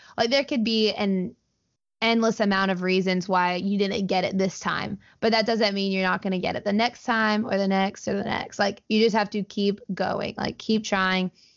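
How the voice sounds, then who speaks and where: With a Southern US accent, a woman speaks in a monotone, flat intonation at medium pitch. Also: moderate pace. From US South, Alabama (Auburn). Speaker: video game streamer. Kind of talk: casual interview chat.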